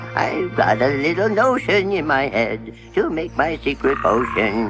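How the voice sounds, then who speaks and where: A man in a put-on character voice cackles and speaks in a sing-song way with a fairly high pitch. His pace is fairly slow, and music plays clearly in the background. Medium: short film. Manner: cackling, sing-song, eccentric.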